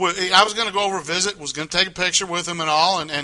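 A man talks at a very fast pace with a high pitch. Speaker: sports co-host. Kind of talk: casual sports talk. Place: studio. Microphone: lapel.

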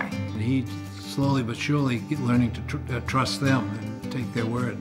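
A man talks at a moderate pace while music comes through clearly in the background. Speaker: grandfather, former military pilot. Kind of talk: interview answer. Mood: earnest, warm. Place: home room.

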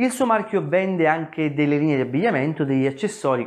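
The man's intonation rises and falls in a lively way. His voice sits at a fairly high pitch. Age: 40s. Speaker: personal finance youtuber. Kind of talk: video monologue. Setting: at home. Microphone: lapel.

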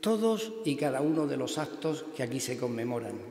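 In a room with audible echo, a man speaks very slowly at a fairly high pitch with ordinary pitch variation. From Turre, Almería, Andalusia; Andalusia. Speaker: Holy Week proclaimer; speaker. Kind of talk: formal proclamation speech. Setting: church. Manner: formal. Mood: solemn, devotional. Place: church. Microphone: podium.

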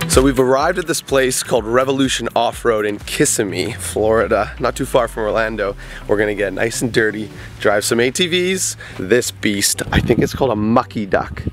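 At a moderate pace, a man speaks in a dry sound with no echo while faint music plays in the background. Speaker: travel vlogger. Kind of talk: casual vlog chat. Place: open country. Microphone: phone near.

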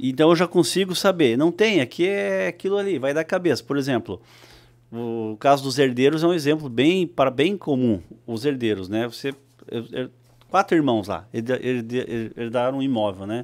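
Against a quiet background, a man speaks at a moderate pace in a southern Brazilian accent. His pitch swings very widely. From Santa Catarina, southern Brazil. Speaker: real estate company founder; podcast guest. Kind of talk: casual interview. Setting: studio. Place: studio. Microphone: studio mic.

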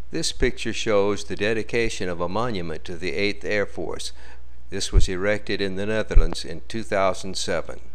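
A man talks at a moderate speed as noticeable noise sounds in the background. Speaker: documentary narrator. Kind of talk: wartime-documentary-style narration over archival footage. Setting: voiceover on a slideshow video. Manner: formal, steady, newsreel-like delivery.

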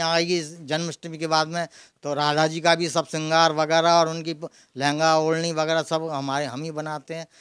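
Against a quiet background and in a dry sound with no echo, a man speaks at a fairly slow pace with a fairly high pitch and monotone, flat intonation. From Mathura, Braj region, India; India. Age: 70s. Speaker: deity costume tailor. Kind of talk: interview. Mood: friendly, proud, smiling. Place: home room. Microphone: handheld.

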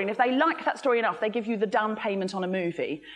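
Lively in intonation, a woman speaks at a very fast pace. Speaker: speaker. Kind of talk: talk to a live audience, comic. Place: hall.

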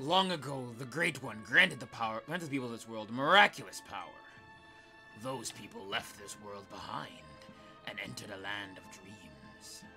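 Over clear music in the background, a man puts on a gruff character voice at a medium pitch and a moderate pace. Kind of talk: solemn, mythic.

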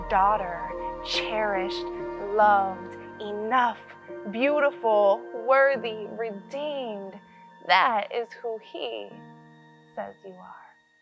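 With music in the background, a woman talks at a very slow pace, leaving long, frequent pauses as her loudness swings widely. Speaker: spoken word poet. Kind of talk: spoken word poetry performance.

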